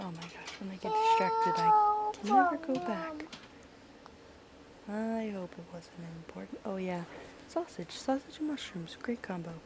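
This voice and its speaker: The quiet voice moves at a moderate pace with big swings in loudness and long, frequent pauses, against noticeable background noise. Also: woman. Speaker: stay-at-home mother. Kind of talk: casual vlog voice-over.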